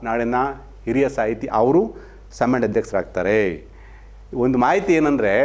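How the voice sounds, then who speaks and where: This is a man speaking. His pitch is medium. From Mandya, Karnataka. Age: 50s. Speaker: local TV news presenter. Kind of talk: opinion commentary. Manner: animated.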